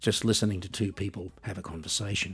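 Somewhat breathy and with an Australian accent, a man talks at a fairly quick pace on a very clean recording with a silent background. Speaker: podcast host and musician. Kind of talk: scripted monologue.

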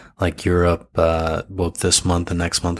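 A man with an American accent speaks at a moderate pace. His voice is very deep and low. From US. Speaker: podcast co-host. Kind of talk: casual chat. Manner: hesitant, many filler uhs.

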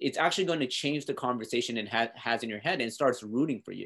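Over a quiet background, a man with a medium-pitched, plain, everyday voice talks at a fairly quick pace with ordinary pitch variation. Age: 30s. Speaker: motivational speaker and author. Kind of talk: podcast interview.

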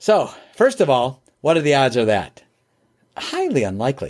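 A man's plain, everyday voice, fairly high in pitch, in an American accent, at a fairly slow pace. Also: very clean recording, silent background. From US Midwest, Chicago area. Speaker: business trainer and entrepreneur. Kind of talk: interview conversation.

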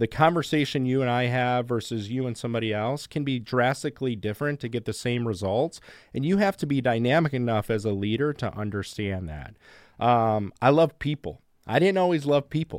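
Here is a man with an unremarkable speaking voice, medium in pitch with lively intonation. The sound is dry and close with no echo, on a very clean recording with a silent background. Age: 40s. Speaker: sales executive. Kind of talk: interview.

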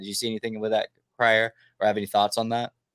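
A man speaks at a very fast pace with a medium pitch, the recording very clean with a silent background and a dry, close sound with no echo. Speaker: podcast host. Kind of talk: casual chat. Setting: live stream.

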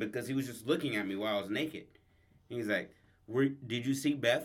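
This man speaks at a very fast pace. His pitch sits in the medium range. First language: English, some Spanish only. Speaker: podcast co-host. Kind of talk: casual improvised storytelling chat.

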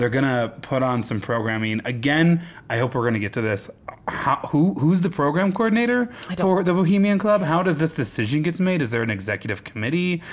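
Over noticeable background noise, a man with a fairly high pitch talks at a fairly quick pace, his voice making very wide pitch swings. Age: 30s. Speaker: podcast host. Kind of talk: casual chat. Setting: studio.

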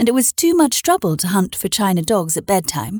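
A woman's somewhat breathy, medium-pitched voice in an animated, playful tone at a moderate pace, dry and close with no echo, on a very clean recording with a silent background. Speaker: podcast host and storyteller. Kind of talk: literary audiobook reading of a children's classic, bedtime-story style. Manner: animated, playful, child-friendly.

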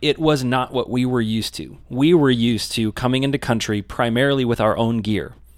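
A man with a normal speaking voice, medium in pitch, at a moderate pace with fairly even intonation and hardly any pauses. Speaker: co-host, video producer. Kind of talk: casual interview chat.

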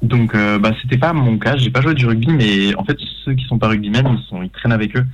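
The man has an unremarkable speaking voice, ordinary pitch variation and a fairly quick pace. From Paris suburbs, France. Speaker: short film director. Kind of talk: radio interview.

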